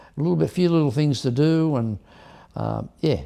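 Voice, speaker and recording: With an Australian accent, a man speaks in a fairly high, dark and mellow voice with lively intonation. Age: 70s. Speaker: hot rod builder and drag racer. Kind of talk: casual interview chat. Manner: halting, many restarts.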